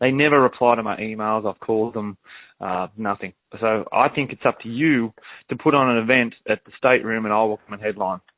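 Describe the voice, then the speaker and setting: Speaking at a fairly quick pace, the man has an Australian accent. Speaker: country singer. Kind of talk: casual chat.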